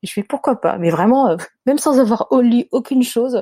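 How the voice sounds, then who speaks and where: A woman's somewhat breathy voice with a dark, mellow tone and ordinary pitch variation, dry and close with no echo, on a very clean recording with a silent background. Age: 30s. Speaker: life coach and mother. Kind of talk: testimony.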